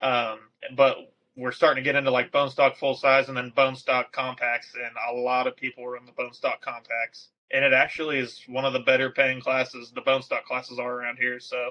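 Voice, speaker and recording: Speaking fairly quickly with an American accent, a man keeps a medium pitch and monotone, flat intonation. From Texas. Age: 20s. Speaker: derby driver and parts fabricator. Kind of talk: casual podcast interview.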